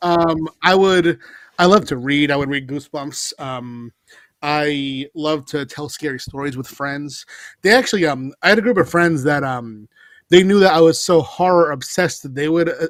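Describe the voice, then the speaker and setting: On a very clean recording with a silent background, a man with an American accent speaks in a plain, everyday voice at a moderate pace, fairly high in pitch with ordinary pitch variation and big swings in loudness. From New York, Long Island. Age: 30s. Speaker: comic book writer. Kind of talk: casual chat.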